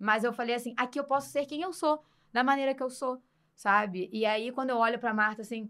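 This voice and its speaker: At a fairly quick pace, a woman with a high pitch sounds animated, with lively intonation, on a very clean recording with a silent background. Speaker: radio presenter and journalist. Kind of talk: podcast interview.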